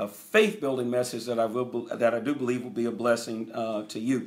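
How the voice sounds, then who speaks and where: The speaker is a man with an American accent. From US. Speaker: preacher. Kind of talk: live-streamed sermon and Bible teaching. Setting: live online stream. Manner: animated, fervent preaching delivery; direct, exhortative address to the audience. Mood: earnest, warm. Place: home room. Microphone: phone near.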